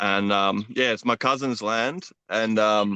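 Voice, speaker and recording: Against a quiet background, a man with an Australian accent talks at a very slow pace in a bright, sharp tone at a medium pitch. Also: dry, close sound with no echo. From Queensland, Australia (Brisbane). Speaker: traveller. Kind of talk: casual chat. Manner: hesitant, many fillers.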